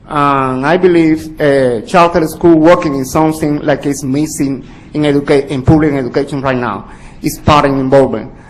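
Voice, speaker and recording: A man talks with a Spanish accent at a moderate pace. His pitch is fairly high and his intonation fairly even. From Cuba. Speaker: community organization director. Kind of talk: public comment testimony. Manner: halting.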